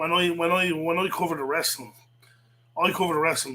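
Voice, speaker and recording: With a Dublin accent, a man talks at a fairly quick pace in a high-pitched voice with a bright, sharp tone. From Ireland, south Dublin. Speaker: livestreamer, wrestling commentator. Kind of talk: casual livestream rant. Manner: animated, repetitive.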